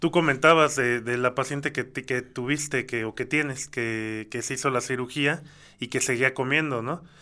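Bright, sharp tone with fairly even intonation on a very clean recording with a silent background. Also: man, medium pitch for a man, moderate pace. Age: 30s. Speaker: music producer and artist developer. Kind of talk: testimony.

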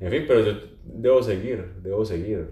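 With audible room echo, a man speaks in a dark, mellow, somewhat breathy tone and ordinary pitch variation. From Colombia. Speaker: social communicator and journalist. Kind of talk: casual chat. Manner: halting, many repetitions and fillers.

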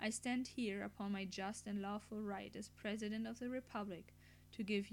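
Someone reads in an unforced voice, the intonation holding fairly even.

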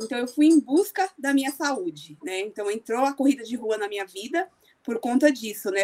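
Lively intonation marks this voice, which moves at a moderate speed. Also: woman. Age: 40s. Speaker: amateur runner and running group admin. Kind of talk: podcast interview.

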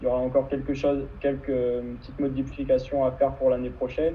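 Speaking in a monotone, flat way, a man holds a medium pitch. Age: 20s. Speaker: kitesurfer and student. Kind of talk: interview. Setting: live video stream.

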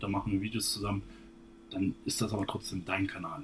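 A man at a very fast pace, somewhat breathy. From northern Hesse, Germany. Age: 20s. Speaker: fitness influencer and bodybuilder. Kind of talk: casual interview. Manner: hesitant, many fillers.

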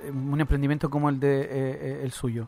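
Here a man speaks in a normal speaking voice with fairly high pitch. He keeps a moderate pace. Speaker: radio host. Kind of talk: radio show with phone interviews.

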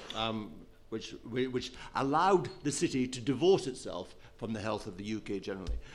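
At a moderate pace, a man with a normal speaking voice talks at a medium pitch with lively intonation. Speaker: business journalist.

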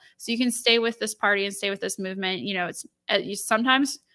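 A woman's bright, sharp, fairly high voice in a Midwestern American accent, on a very clean recording with a silent background. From northwestern Ohio (Lima). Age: young. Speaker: political party staff member. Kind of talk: interview.

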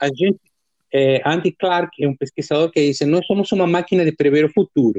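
A man talks in a Spanish accent at a fairly quick pace, with fairly high pitch and ordinary pitch variation. His loudness stays very even. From Argentina (Dolores, Buenos Aires province). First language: Spanish (speaking Portuguese). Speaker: musician and music professor. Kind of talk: casual interview.

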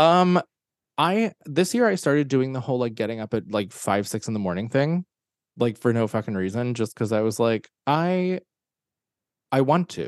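A man's fairly quick speech with very wide pitch swings, dry and close with no echo, over a quiet background. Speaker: author and actor. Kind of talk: casual interview.

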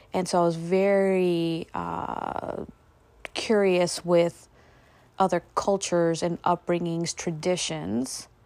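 Fairly low in pitch, a woman speaks at a very slow pace with fairly even intonation. The recording is very clean with a silent background. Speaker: podcast host and spiritual healer. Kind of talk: casual monologue. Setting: home.

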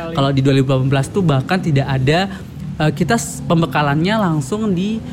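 A man's fairly high-pitched voice at a moderate pace, over noticeable background noise. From Lombok, Indonesia. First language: Sasak (Lombok language) (speaking Indonesian). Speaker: language ambassador. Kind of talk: podcast interview.

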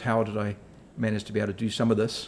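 Here a man speaks with a New Zealand accent. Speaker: executive director at a professional services firm. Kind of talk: interview. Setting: office. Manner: halting, many fillers.

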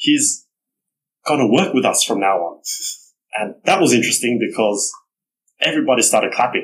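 With an Australian accent, a man speaks using long, frequent pauses. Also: moderate pace. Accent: Australian-accented Vietnamese. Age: 30s. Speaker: real estate executive, former tutor. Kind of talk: casual interview.

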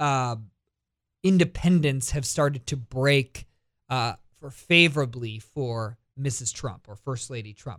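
A man's fairly high pitch in a normal speaking voice, with an American accent, ordinary pitch variation and a fairly slow pace. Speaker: radio host. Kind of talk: talk radio monologue and interview.

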